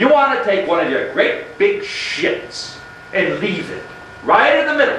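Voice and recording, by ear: A man's put-on character voice, high-pitched and bright, sharp in tone, with big pitch swings, a fairly slow pace and audible room echo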